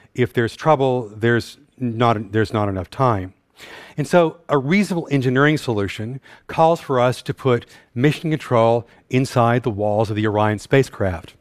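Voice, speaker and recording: A man with an American accent talks in an unremarkable speaking voice at a medium pitch. His pace is moderate, with ordinary pitch variation. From North Texas. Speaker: systems engineer and scientist. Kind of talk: conference talk. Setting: stage with audience.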